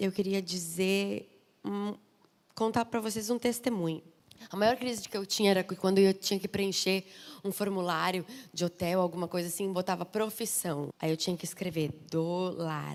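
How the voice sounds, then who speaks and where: Speaking in a southern Brazilian accent, a woman sounds animated at a medium pitch, with ordinary pitch variation. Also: moderate pace. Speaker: pastor's wife, guest preacher. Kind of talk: sermon.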